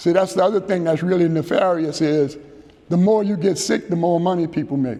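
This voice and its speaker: A man's high, dark, mellow voice at a fairly quick pace, with ordinary pitch variation. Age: 70s. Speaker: keynote speaker. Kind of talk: keynote address. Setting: luncheon with audience. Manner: animated.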